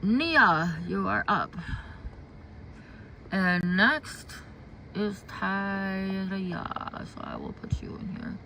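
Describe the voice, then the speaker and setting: A woman's voice with an American accent at a very slow pace, with long, frequent pauses and big swings in loudness, amid audible room echo and noticeable background noise. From US Midwest. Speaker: intuitive card reader. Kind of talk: livestream chat. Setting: outdoors in garden. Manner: halting.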